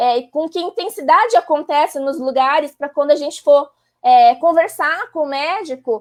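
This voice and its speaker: The voice has lively intonation and a fairly slow pace. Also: woman. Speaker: psychologist. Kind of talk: live stream expert explanation. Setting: online live stream.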